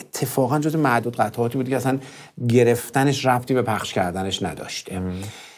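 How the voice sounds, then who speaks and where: Pitch moves in an ordinary way as the speaker keeps to a moderate pace. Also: man. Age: 40s. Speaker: music producer; interview guest. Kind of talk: interview. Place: studio. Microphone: lapel.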